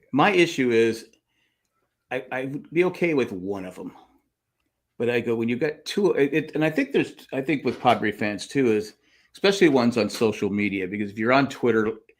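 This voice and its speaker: Here is a man with a plain, everyday voice, medium pitch and lively intonation, at a fairly quick pace. The recording is very clean, with a silent background. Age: 60s. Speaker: sports fan podcast host. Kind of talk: casual chat.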